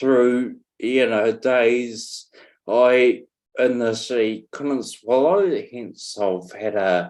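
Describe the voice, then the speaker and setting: At a very slow pace, a man in a New Zealand accent speaks at medium pitch. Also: ordinary pitch variation. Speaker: stroke survivor, former firefighter. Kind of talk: interview. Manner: halting, many fillers.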